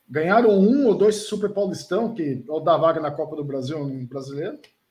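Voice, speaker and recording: This man's intonation is lively. He talks at a moderate pace. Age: 40s. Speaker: regional football reporter. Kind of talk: casual chat.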